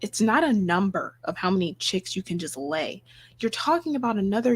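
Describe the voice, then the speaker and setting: A woman speaks at a medium pitch with lively intonation and a somewhat breathy quality. The recording is very clean, with a silent background. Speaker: livestream host. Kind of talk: live stream commentary. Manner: whispering.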